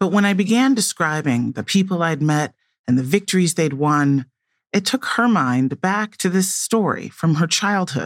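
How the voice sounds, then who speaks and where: An ordinary speaking voice with an American accent and lively intonation comes through with a dry, close sound with no echo on a very clean recording with a silent background. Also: woman. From US Midwest, Chicago. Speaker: podcast host. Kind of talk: scripted narration.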